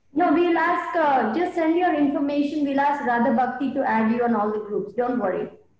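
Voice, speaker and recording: Audible room echo surrounds lively intonation delivered at a fairly quick pace with very even loudness and hardly any pauses. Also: woman, high pitch for a woman. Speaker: participant in online class. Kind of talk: class discussion. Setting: video call. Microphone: video call.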